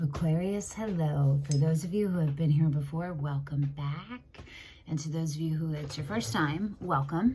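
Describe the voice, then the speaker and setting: With audible room echo, a woman of very deep, low pitch talks at a moderate pace. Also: ordinary pitch variation. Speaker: tarot reader. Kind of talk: tarot reading monologue. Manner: casual, scattered.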